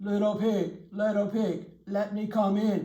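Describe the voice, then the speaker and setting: A put-on character voice, fairly high in pitch, drones in a flat monotone at a fairly slow pace. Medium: read story. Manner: sly.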